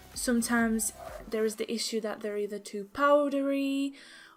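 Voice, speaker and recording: Fairly high female speech, an unremarkable speaking voice with fairly even intonation, moving at a moderate pace. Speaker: beauty vlogger. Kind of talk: casual talk to camera.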